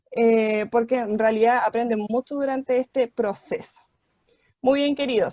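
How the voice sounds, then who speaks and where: A woman with a high pitch and a dark, mellow tone speaks at a moderate pace with ordinary pitch variation, the sound dry and close with no echo. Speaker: school teacher. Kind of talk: online class lecture. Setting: video call.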